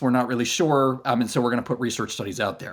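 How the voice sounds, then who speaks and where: This is a man with an American accent. His pitch sits at a medium level. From United States. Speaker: clinical research company founder. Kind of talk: podcast interview. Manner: hesitant, many fillers and restarts.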